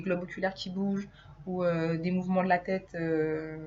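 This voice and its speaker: The speaker is somewhat breathy and talks at a fairly slow pace with monotone, flat intonation. Audible room echo surrounds the voice. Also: woman. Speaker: hypnotherapist. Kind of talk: informal video lecture. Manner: hesitant, many filler sounds.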